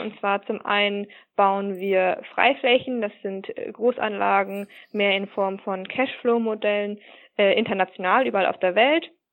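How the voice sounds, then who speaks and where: A woman's plain, everyday voice at a medium pitch, with fairly even intonation and a fairly slow pace. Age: 20s. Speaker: business process manager. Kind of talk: interview.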